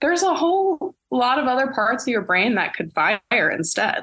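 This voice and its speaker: A woman speaks with an American accent and lively intonation at a fairly quick pace. She has an unremarkable speaking voice. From Pittsburgh, Pennsylvania, US. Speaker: actress and director. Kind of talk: casual chat.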